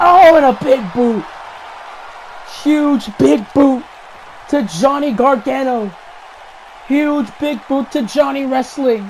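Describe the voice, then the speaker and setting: Speech comes at a very slow pace, broken by long, frequent pauses, with crowd noise in the background. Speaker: video game commentator. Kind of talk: live commentary. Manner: animated; stuttering.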